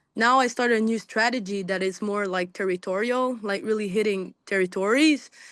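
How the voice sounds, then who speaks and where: A woman with a Quebec accent, medium pitch, moderate pace and ordinary pitch variation over a quiet background. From Quebec, Montreal. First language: French. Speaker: small business owner. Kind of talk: casual group video call. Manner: halting.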